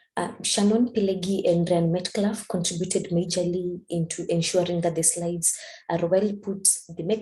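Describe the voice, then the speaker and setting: Somewhat breathy, a woman speaks at a medium pitch in a dark, mellow tone. She keeps a moderate pace with fairly even intonation. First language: not English. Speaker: statistics student and community organizer. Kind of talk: presentation. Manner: halting.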